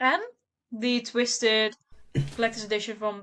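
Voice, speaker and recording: A woman with a Dutch accent at a moderate pace. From Netherlands. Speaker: book content creator. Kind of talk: casual chat.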